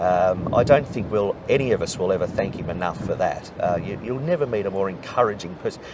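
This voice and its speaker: Over noticeable background noise, a man with a fairly low pitch talks fairly quickly with lively intonation and hardly any pauses. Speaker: race caller. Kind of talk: interview answer. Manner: conversational, warm.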